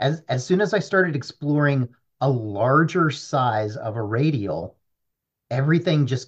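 Somewhat breathy, a man talks at a medium pitch and a fairly slow pace, his pitch swinging very widely. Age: 30s. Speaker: data analyst. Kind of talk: casual chat. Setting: at home.

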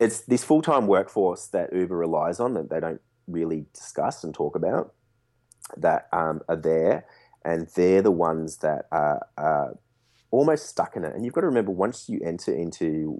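A man with an Australian accent speaks fairly slowly in a very deep, low, dark and mellow voice. His pitch varies in an ordinary way on a very clean recording with a silent background. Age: 30s. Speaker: rideshare driver and driver advocate. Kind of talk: interview.

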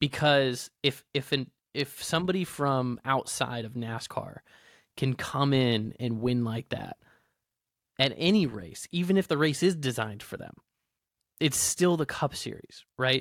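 Heard in a very clean recording with a silent background and a dry, close sound with no echo, a man with a normal speaking voice talks fairly slowly at a medium pitch, with ordinary pitch variation. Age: 30s. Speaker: podcast co-host. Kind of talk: casual chat.

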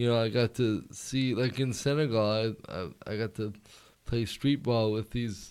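A man talks in a plain, everyday voice at medium pitch. His pace is fairly slow and his intonation fairly even. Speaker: comedian. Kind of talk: casual chat. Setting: studio.

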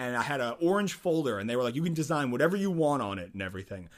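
A man's voice with very wide pitch swings, on a very clean recording with a silent background. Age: 20s. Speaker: musician and lab chemist. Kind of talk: casual interview.

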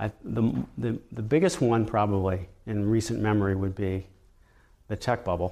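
A man's fairly low pitch in a dark, mellow tone, at a moderate pace with ordinary pitch variation. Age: 50s. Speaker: mutual fund manager. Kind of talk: interview. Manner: halting, with many fillers.

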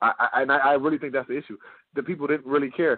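An animated man talks at a very fast pace. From Detroit, Michigan. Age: 40s. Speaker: podcast host, former pro wrestler. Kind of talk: casual interview chat.

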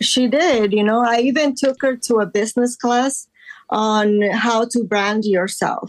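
A woman with a plain, everyday voice talks fairly slowly at a fairly high pitch, her loudness very even. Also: ordinary pitch variation. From Los Angeles, raised from age 10; born in Guatemala. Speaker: artist. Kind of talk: casual interview.

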